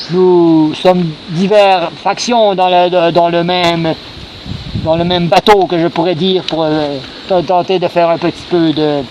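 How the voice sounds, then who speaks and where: Over noticeable background noise, a man speaks very slowly at a high pitch, his intonation monotone and flat. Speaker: LARP video host. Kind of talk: casual chat in character at live-action role-play. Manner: halting, many repetitions and fillers.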